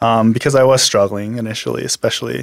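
Fairly quick speech with a western Canadian accent, in dry, close sound with no echo. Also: man. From Canada, Alberta (Medicine Hat), born in Korea. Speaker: former baseball player. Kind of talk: personal testimony in casual conversation.

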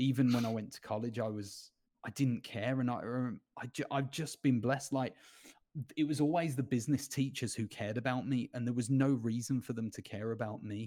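A man with an English accent, a dark, mellow tone and medium pitch, at a fairly quick pace with fairly even intonation. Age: 30s. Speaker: former youth footballer and coach. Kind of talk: interview.

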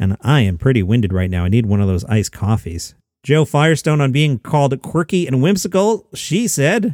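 A man's medium-pitched voice with very wide pitch swings and hardly any pauses, on a very clean recording with a silent background. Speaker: comedy news podcast host. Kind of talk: news-style comedy monologue. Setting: home basement.

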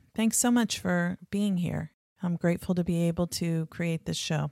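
A woman with an unremarkable speaking voice talks at a moderate pace with ordinary pitch variation. The sound is dry and close with no echo. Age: 50s. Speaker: podcast host, therapist and social worker. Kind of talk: interview chat; scripted intro/outro narration.

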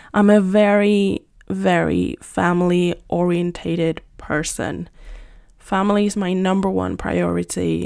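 A woman speaks with a Spanish accent. Her pace is fairly slow and her tone relaxed. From Spain, Madrid. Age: 20s. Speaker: podcaster and teacher. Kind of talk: casual monologue. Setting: home, on a couch. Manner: relaxed, unscripted.

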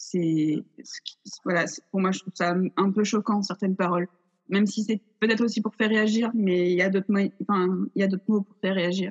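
A woman with a medium-pitched, somewhat breathy voice talks at a fairly quick pace. Her intonation is fairly even, and she takes long, frequent pauses. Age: 20s. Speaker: theatre student and director. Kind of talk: casual interview. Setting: video call.

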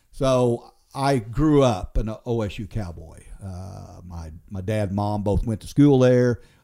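Speaking at a very slow pace with hardly any pauses, a man with an American accent has a dark, mellow tone, ordinary pitch variation and big swings in loudness on a very clean recording with a silent background. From Oklahoma, Osage County. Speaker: war veteran. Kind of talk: interview. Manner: halting.

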